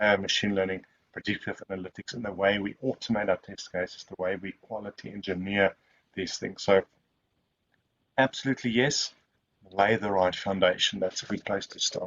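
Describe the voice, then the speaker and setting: A man speaks in a South African accent at a moderate pace. His pitch is fairly low and his intonation fairly even. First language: Afrikaans. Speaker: software testing expert. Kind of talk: Q&A at online webinar.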